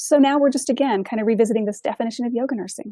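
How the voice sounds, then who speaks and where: A woman with a fairly high pitch and a dark, mellow tone talks at a very fast pace with ordinary pitch variation, recorded with a dry, close sound and no echo. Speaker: yoga teacher trainer for nurses. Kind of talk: online training lecture. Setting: online course session.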